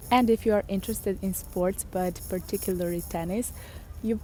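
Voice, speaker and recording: A woman with a Serbian accent speaks in a dark, mellow tone with fairly even intonation. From Serbia, Belgrade. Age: 20s. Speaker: vlogger. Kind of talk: casual vlog talk to camera. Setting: outdoors in a park.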